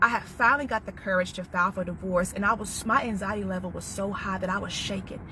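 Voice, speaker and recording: Through noticeable background noise, a woman with a medium pitch talks at a very fast pace with hardly any pauses. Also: fairly even intonation. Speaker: domestic violence survivor and author. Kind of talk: live stream monologue.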